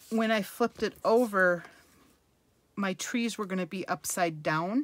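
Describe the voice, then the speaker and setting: A woman has a normal speaking voice at a medium pitch with ordinary pitch variation. She talks at a fairly slow pace, with a dry, close sound with no echo. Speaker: card-making demonstrator. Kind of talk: crafting tutorial. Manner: casual, chatty.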